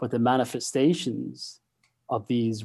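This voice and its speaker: In an Irish accent, a man talks very slowly at a medium pitch, his dark, mellow tone staying monotone and flat. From Ireland. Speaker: psychology professor. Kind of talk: interview. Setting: video call.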